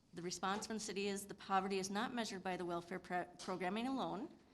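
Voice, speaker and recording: Very fast woman's voice in an American accent, medium in pitch with ordinary pitch variation, over noticeable background noise. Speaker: city official. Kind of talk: public meeting presentation.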